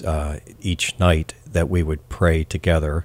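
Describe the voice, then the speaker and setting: On a very clean recording with a silent background, a man's very deep, low voice holds fairly even intonation. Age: 60s. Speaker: father of five. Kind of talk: casual interview. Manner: halting, many fillers.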